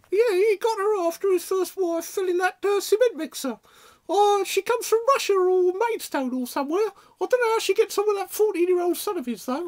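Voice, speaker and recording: In a put-on character voice, a woman squeaks at an extremely high pitch, her intonation lively and her pace fairly quick. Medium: audio drama. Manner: gossipy, sighing, wearily patient.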